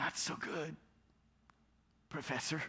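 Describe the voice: In a put-on character voice, a man sounds raspy and shaky at a fairly high pitch.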